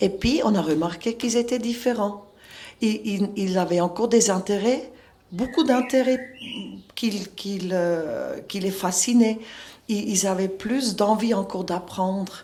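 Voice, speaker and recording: A woman of medium pitch speaks with a dark, mellow tone and ordinary pitch variation. Her pace is very slow, with long, frequent pauses. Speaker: school founder and educator. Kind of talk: interview. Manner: halting.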